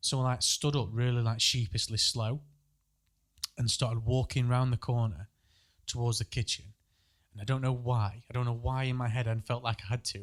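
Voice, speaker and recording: A somewhat breathy voice moves at a moderate pace with fairly even intonation and long, frequent pauses. The recording is very clean, with a silent background. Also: man. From Northern England. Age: 30s. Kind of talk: casual podcast storytelling.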